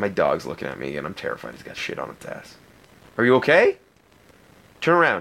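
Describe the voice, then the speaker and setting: Speaking at a fairly quick pace but with long, frequent pauses, a man with an Ontario accent shows big swings in loudness. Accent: Canadian (Ontario). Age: 20s. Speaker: podcast host and pro wrestler. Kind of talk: casual solo chat.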